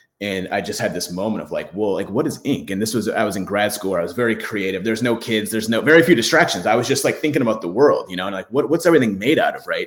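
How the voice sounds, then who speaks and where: Speaking very fast with hardly any pauses, a man with an American accent uses lively intonation over noticeable background noise. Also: medium pitch for a man. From US Midwest, Michigan. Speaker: ink company founder, marine biologist. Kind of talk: interview. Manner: halting, many fillers.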